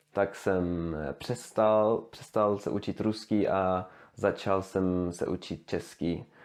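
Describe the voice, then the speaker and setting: A man with a Swedish accent speaks at a fairly low pitch and a very slow pace. His intonation stays fairly even. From Sweden. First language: Swedish (speaking Czech). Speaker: language learner, youtuber. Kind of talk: language demonstration monologue. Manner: halting, many fillers and restarts.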